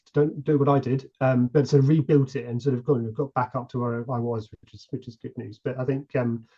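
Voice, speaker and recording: A man with a British accent speaks at medium pitch and a moderate pace in a somewhat breathy voice with a dark, mellow tone. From UK. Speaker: model ship builder. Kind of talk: podcast interview. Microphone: connection issues.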